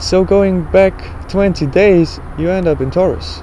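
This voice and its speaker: A man talks at a very slow pace, with noticeable background noise present. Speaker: religious astronomy vlogger. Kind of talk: casual explanatory monologue.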